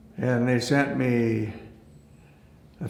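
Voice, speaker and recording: A man speaks very slowly in an Upper Midwest accent. Noticeable background noise is present. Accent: Upper Midwest American. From Aberdeen, South Dakota. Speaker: attorney and former hotel CEO. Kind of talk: oral history interview answer.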